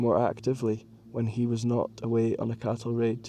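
Slowly, at a fairly slow pace, a man speaks at medium pitch. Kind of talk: audiobook reading of narrative history, read aloud in measured literary style. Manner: steady, measured, formal narrator pace.

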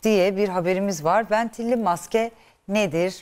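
A woman is speaking. Her pace is moderate. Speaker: TV morning show presenter. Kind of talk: TV health talk show. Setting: studio. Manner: animated.

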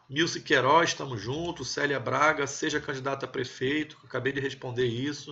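A man with a normal speaking voice, fairly high pitch for a man, fairly even intonation and hardly any pauses. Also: moderate pace. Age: 30s. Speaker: army officer and political commentator. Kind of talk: live stream chat with viewers.

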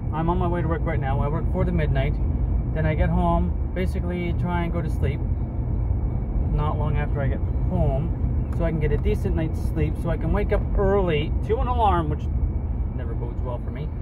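A man speaks at a fairly quick pace with ordinary pitch variation. Loud background noise fills the recording. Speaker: vlogger. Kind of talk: casual vlog chat. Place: car. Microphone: phone near.

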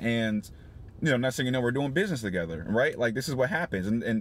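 A man talks with a dry sound that has no echo. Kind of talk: casual vlog chat. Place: car. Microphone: phone near.

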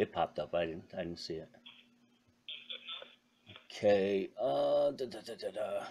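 A fairly slow pace broken by long, frequent pauses. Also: man. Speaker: call recipient baiting a scammer. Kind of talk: prank call with phone scammer. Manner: playful, teasing. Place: home room. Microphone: phone line.

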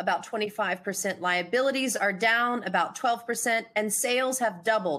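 A woman's voice sits fairly high in pitch, with a bright, sharp tone. She talks at a fairly slow pace with ordinary pitch variation. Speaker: conference host. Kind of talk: conference moderation, scripted intro and Q&A. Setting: online webcast. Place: home room.

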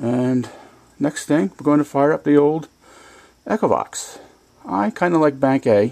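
Going very slowly, a man talks with pitch that varies in an ordinary way. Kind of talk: casual vlog chat. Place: garage. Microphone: phone near.

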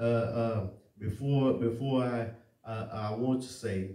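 The voice carries fairly even intonation, with audible room echo around it. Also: man. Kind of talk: sermon. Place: church.

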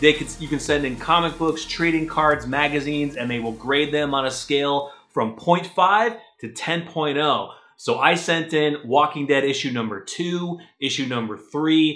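A man's voice at a fairly slow pace with ordinary pitch variation, over a quiet background. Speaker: comic collector vlogger. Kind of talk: casual vlog chat. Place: home room. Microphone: camera far.

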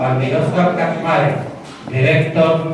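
A man talks at a fairly slow pace with strong room echo and noticeable background noise. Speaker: council session chairman. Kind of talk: formal meeting opening and greetings. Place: hall. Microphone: camera far.

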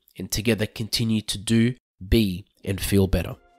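Someone with an Australian accent is heard in a very clean recording with a silent background and a dry, close sound free of echo. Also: man. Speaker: financial adviser. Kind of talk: podcast introduction.

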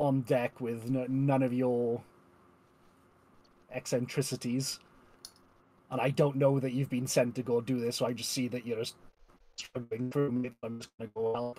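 A man talks at a moderate pace and medium pitch, with little pitch movement. His tone is dark and mellow, broken by long, frequent pauses.

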